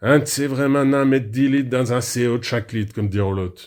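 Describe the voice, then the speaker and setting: A man with a Picard accent, on a very clean recording with a silent background. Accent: Picard dialect, local patois. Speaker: radio presenter. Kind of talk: comic radio monologue. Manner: humorous, chatty.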